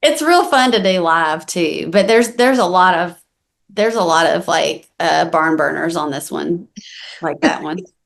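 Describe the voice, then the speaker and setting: A woman with a Southern US accent speaks at a moderate pace in a fairly low pitch, with lively intonation and vocal fry. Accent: Southern US country. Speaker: country singer-songwriter. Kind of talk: interview. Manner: casual, with many fillers.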